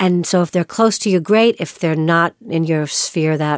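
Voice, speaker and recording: A woman speaks fairly quickly with ordinary pitch variation, in a very clean recording with a silent background and a dry, close sound lacking echo. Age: 60s. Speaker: podcaster and life coach. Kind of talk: casual interview conversation.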